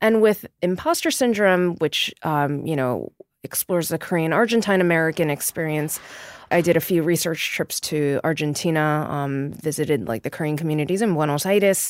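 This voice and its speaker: In a New York accent, a woman with a fairly low pitch talks at a moderate pace with ordinary pitch variation. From New York City, Queens. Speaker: novelist. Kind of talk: interview conversation. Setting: studio.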